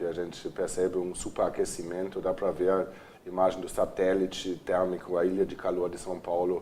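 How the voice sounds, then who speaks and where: A man's very deep, low voice at a moderate pace. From Germany, Cologne. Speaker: architect and urban planner. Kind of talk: TV interview.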